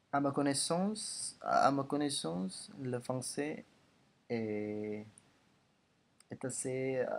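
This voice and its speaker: A man speaks very slowly in an Indonesian accent, with long, frequent pauses. His pitch is fairly high for a man and swings very widely. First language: Indonesian (speaking French). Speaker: language learner vlogger. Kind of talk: language progress video monologue. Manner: halting, many hesitations and repetitions.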